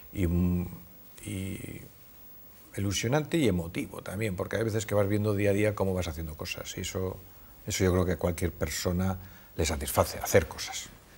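A man with a fairly low, somewhat breathy voice speaks at a moderate pace with ordinary pitch variation and long, frequent pauses. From Cantabria, Spain (Torrelavega); Cantabria, Spain. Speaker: businessman, supermarket chain executive; interviewee. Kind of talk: interview. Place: studio. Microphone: lapel.

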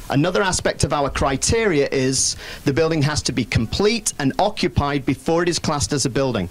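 Moving at a fairly quick pace, a man with a British accent speaks at a fairly high pitch with lively intonation and very even loudness. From Britain. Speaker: executive director of a building council and professor; executive director of a building council, professor. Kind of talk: press conference. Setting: packed room with audience. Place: meeting room. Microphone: handheld.

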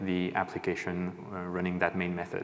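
A man's a plain, everyday voice, fairly low in pitch, at a moderate pace. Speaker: conference presenter. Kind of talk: technical talk. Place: stage. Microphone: lapel.

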